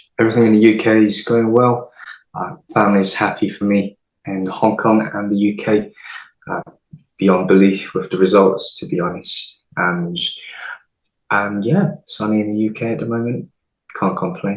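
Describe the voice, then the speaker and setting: A man with an English accent, fairly low pitch, fairly even intonation and a moderate pace broken by long, frequent pauses. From England (London, then Midlands). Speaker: pageant runner-up and chiropractor. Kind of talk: interview.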